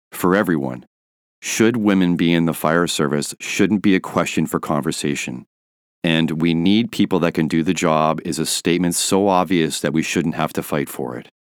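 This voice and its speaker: Vocal fry runs through the speech on a very clean recording with a silent background. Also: man, very deep, low pitch for a man, ordinary pitch variation, moderate pace. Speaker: podcast host. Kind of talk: interview.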